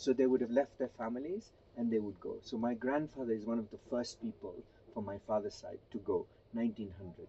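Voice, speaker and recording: A man with a Gujarati accent, speaking at a fairly quick pace. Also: medium pitch for a man, ordinary pitch variation, big swings in loudness. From Kenya (Gujarati family). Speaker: interviewee sharing family history. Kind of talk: interview, family history account.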